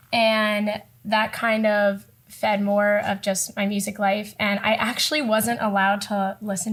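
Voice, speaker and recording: A woman with an American accent speaks in a medium pitch. Her voice is somewhat breathy, and her intonation is monotone and flat. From South Florida, US. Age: 20s. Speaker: singer-songwriter. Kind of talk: casual interview.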